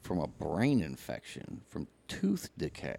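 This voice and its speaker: This man has a fairly low pitch and a dark, mellow tone with vocal fry. He speaks at a very slow pace. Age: 40s. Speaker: podcast co-host. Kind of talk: casual chat.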